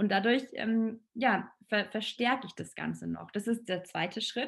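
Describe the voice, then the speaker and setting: This woman talks with vocal fry and fairly even intonation. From Allgäu, Bavaria. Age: 30s. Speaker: relaxation and stress-management expert. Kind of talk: podcast interview.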